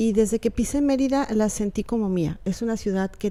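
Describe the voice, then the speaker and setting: Speaking at a moderate pace with a Yucatán accent, a woman has a dark, mellow tone. The recording is very clean with a silent background. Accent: picked up Yucatán. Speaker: writer. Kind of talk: interview.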